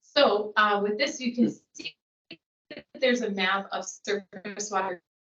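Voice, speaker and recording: A woman speaks with an American accent at a medium pitch. Her pace is moderate and her pitch varies in an ordinary way. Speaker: geologist presenting to a public board. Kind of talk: technical presentation at a public meeting.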